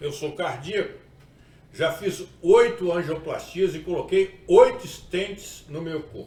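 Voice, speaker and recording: Audible room echo around a man's voice, its pitch varying in an ordinary way. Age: 60s. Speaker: pastor. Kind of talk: sermon-style video talk.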